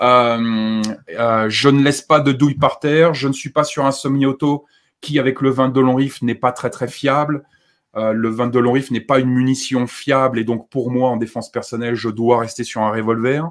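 The man's intonation is monotone and flat, and the background is quiet. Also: moderate pace. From France. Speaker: survivalist YouTuber; guest. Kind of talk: live-stream discussion. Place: home room.

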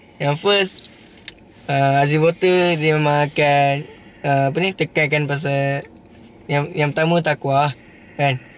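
Against light background noise, a man with a fairly high pitch speaks at a very slow pace, with fairly even intonation, very even loudness, and long, frequent pauses. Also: dry sound with no echo. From Malaysia, Pahang (Temerloh); Pahang, Malaysia. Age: 20s. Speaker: young entrepreneur, former drain cleaner. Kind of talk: interview. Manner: giggly, hesitant. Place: car. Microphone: phone near.

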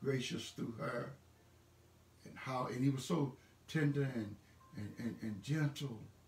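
Audible room echo carries a man's voice. He speaks at a fairly slow pace with ordinary pitch variation and long, frequent pauses. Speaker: pastor. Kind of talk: sermon / church message delivered online. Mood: warm and encouraging. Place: home room. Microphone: phone near.

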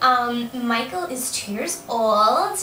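In a room with audible echo and light background noise, a woman speaks very slowly in a raised, projected voice. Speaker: vlogger. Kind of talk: casual vlog chat. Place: home room. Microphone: webcam.

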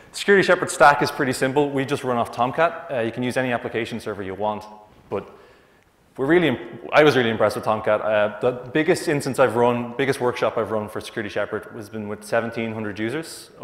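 Audible room echo surrounds a man who speaks at a very fast pace. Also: ordinary pitch variation. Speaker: conference presenter. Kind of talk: conference talk. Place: hall.

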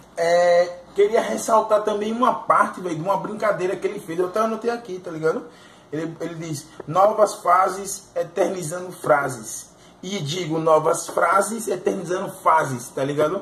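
With audible room echo and light background noise, a man speaks at a high pitch with ordinary pitch variation. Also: moderate pace. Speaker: music reaction youtuber. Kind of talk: casual commentary. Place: home room. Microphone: phone near.

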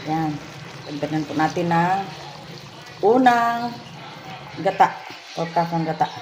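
Against noticeable background noise, a woman with a fairly low pitch and lively intonation speaks fairly slowly, with long, frequent pauses. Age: old. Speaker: family vlogger. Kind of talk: casual vlog narration.

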